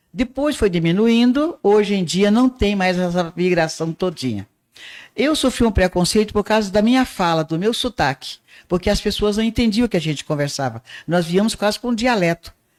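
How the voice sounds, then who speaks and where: A woman's medium-pitched voice at a moderate pace, lively in intonation and very even in loudness, with a dry, close sound, no echo and a very clean recording against a silent background. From Northeast Brazil, Patos, Paraíba. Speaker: arts teacher and radio broadcaster. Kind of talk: podcast interview.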